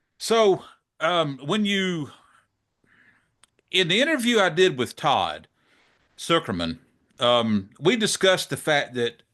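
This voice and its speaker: A man with a Southern US accent and a high pitch speaks very slowly in a bright, sharp tone. His pitch swings very widely, he pauses long and often, and the background is quiet. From US South, South Georgia; Georgia. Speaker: drum channel interviewer. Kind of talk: interview. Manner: casual, hesitant with fillers. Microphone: studio mic.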